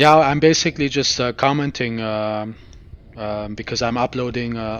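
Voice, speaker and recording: With a slight German accent, a man speaks at a moderate pace with fairly even intonation. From Germany. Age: 30s. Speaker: video game streamer. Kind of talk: live gameplay commentary. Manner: halting, many fillers; calm, relaxed.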